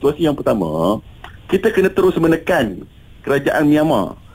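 A man's pitch swings very widely as he talks at a fairly quick pace against noticeable background noise. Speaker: humanitarian organisation official. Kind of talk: radio interview.

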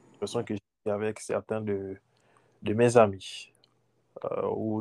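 A man's fairly low voice has a dark, mellow tone in a dry, close recording with no echo. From Gabon. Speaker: former international student. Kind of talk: interview.

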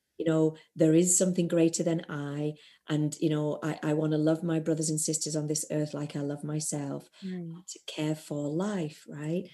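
A woman with a non-native accent speaks with hardly any pauses, in a very deep, low pitch and a dark, mellow tone. Her intonation is monotone and flat, and the background is quiet. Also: moderate pace. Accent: non-American accent, noticeable on some words. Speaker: spiritual teacher and shamanic practitioner. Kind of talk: interview, spiritual teaching. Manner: hesitant, many fillers and repeats.

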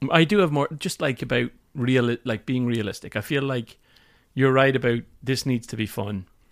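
A man with an Irish accent speaks at a moderate pace. The recording is very clean with a silent background. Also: medium pitch for a man, ordinary pitch variation. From Ireland, Limerick. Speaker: podcast co-host, product manager. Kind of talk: casual chat.

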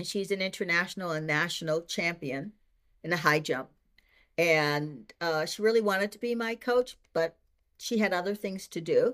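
A plain, everyday voice speaks at a moderate pace with ordinary pitch variation. The recording is very clean, with a silent background. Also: woman, fairly low pitch for a woman. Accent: American. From Boston. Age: 60s. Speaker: retired teacher and senior track athlete. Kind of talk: interview.

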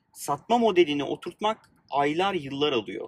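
The delivery is fairly slow, with lively intonation and a dry, close sound with no echo. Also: man. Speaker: podcast host and startup founder. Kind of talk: casual chat. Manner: informal, friendly.

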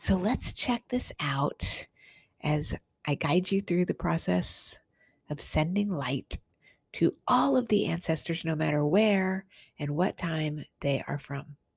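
On a very clean recording with a silent background and a dry, close sound with no echo, a woman with a very deep, low pitch speaks very slowly, somewhat breathy, with lively intonation. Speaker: radio host, author and past life therapist. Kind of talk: podcast intro and outro, casual talk. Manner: warm, caring, friendly.

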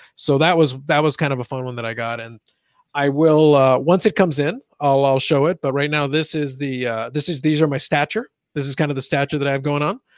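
A plain, everyday voice moves at a fairly quick pace with ordinary pitch variation. The recording is very clean, with a silent background and a dry, close sound with no echo. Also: man. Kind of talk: casual chat.

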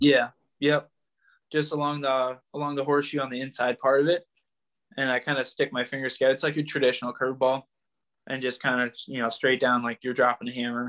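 A man with an American accent at medium pitch and a fairly quick pace, monotone and flat in intonation, with a quiet background and a dry, close sound with no echo. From US Midwest (Michigan). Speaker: baseball pitcher. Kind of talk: interview.

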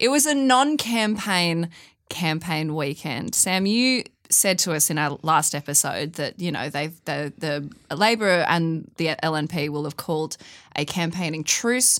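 Lively intonation marks this voice with an Australian accent. It moves at a fairly slow pace in a very clean recording with a silent background. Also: woman, fairly low pitch for a woman. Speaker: podcast host. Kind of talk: casual banter podcast. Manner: joking.

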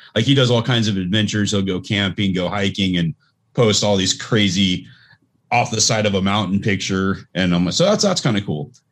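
Talking at a fairly quick pace, a man with an unremarkable speaking voice uses a fairly low pitch and ordinary pitch variation. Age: 40s. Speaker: podcast co-host. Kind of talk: casual chat. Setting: video call.

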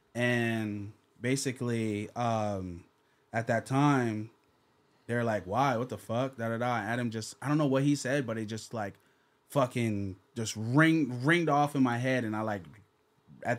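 A man with an American accent talks at a fairly slow pace in a medium-pitched voice with ordinary pitch variation, an ordinary speaking voice. The recording is very clean, with a silent background. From New Jersey, Jamaican roots. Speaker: podcaster and former interviewer. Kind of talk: casual chat.

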